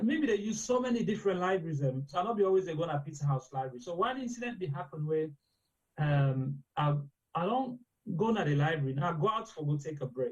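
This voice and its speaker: Speaking at a very fast pace, a man with a Sierra Leonean accent uses a high pitch with very wide pitch swings. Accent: Sierra Leonean English with Krio. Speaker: medical doctor. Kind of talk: interview. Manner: conversational, mixes Krio and English.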